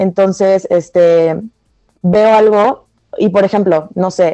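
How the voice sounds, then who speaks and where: A woman's dark, mellow tone at medium pitch, with ordinary pitch variation. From Mexico (from Venezuela, moved at age five). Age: 20s. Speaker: student designer. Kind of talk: casual chat.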